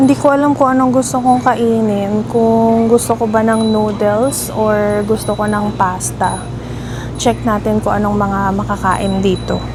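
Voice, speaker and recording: A woman speaks at a fairly slow pace. Music plays in the background, and audible room echo surrounds the recording. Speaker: vlogger. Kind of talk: travel vlog narration. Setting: outdoors at night, then in a convenience store. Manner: soft-spoken, lowered voice.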